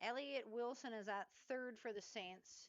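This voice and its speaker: The woman speaking uses ordinary pitch variation. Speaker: local sports play-by-play announcer. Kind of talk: live commentary. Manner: loud; casual, conversational.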